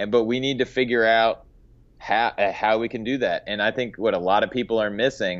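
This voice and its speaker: An unremarkable speaking voice talks at a fairly quick pace over a quiet background. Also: man. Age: young. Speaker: golf teaching pro. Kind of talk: podcast interview.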